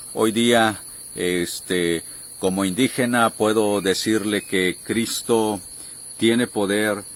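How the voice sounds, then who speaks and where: Pitched fairly low, a man speaks at a very slow pace with fairly even intonation. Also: very even loudness. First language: Tenek (Huastec) (speaking Spanish). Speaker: missionary. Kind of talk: testimony.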